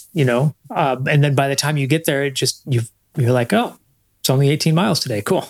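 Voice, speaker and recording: A man's fairly high-pitched, normal speaking voice at a fairly quick pace, with ordinary pitch variation and a dry, close sound with no echo. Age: 50s. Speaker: marketing coach and runner. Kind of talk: casual chat.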